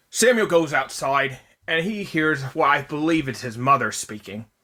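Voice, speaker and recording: A man performs a put-on character voice at a fairly high pitch. The recording is very clean with a silent background. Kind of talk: casual movie review recap. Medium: solo performance. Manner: conversational, rambling, self-correcting.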